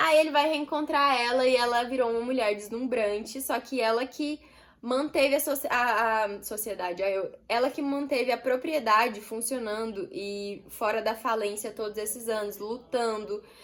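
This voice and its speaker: A woman with an unremarkable speaking voice talks at a fairly high pitch with ordinary pitch variation, at a moderate pace with hardly any pauses. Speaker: book youtuber. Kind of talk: book review vlog. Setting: home, street noise outside.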